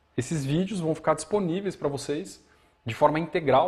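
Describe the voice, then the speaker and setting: The voice is somewhat breathy. It moves at a fairly quick pace with ordinary pitch variation. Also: man. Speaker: bonsai teacher. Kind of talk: live demonstration tutorial. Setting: live stream from studio. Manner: fast.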